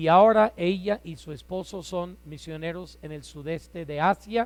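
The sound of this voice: Loud and fairly slow, a man speaks at a high pitch with ordinary pitch variation.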